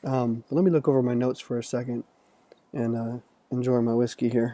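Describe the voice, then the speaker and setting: A man's dark, mellow voice sits at medium pitch with fairly even intonation. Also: fairly quick pace. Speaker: podcast host. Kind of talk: casual video diary monologue.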